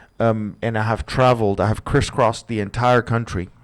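Speaking at a fairly quick pace, a man uses a medium pitch. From Canada. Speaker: podcast host, marketing copywriter. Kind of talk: solo podcast monologue. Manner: frequent hesitations and fillers.

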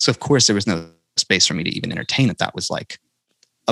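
A man with an American accent speaks at a fairly low pitch in a bright, sharp tone, the sound dry and close with no echo. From North Carolina. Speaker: country singer-songwriter. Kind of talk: podcast interview. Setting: podcast recording.

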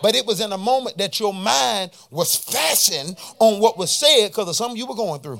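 With music in the background, a man in a high pitch talks with an animated tone and lively intonation, leaving hardly any pauses. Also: fairly quick pace. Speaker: preacher. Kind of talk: sermon. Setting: church with congregation. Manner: animated, call-and-response, pulpit-style preaching with rising intensity; exhorting the congregation with rhetorical questions and repetition.

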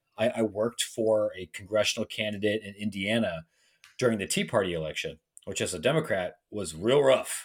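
On a very clean recording with a silent background, a man with a Midwestern US accent talks at a fairly quick pace, his fairly low pitch showing ordinary variation and big swings in loudness. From Ohio, Licking County near Columbus. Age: 30s. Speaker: college sports writer. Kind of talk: podcast interview.

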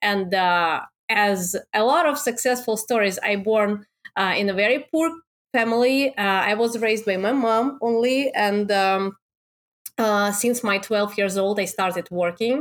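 With a Russian accent, a woman talks fairly slowly at a medium pitch, her loudness very even throughout. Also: ordinary pitch variation. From Russia, Moscow. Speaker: Amazon seller and coach. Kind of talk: interview. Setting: remote call.

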